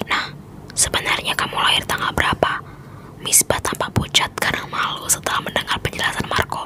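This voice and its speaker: A woman whispering at a moderate pace, with noticeable background noise. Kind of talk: ASMR bedtime story reading. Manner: whispered, soft-spoken.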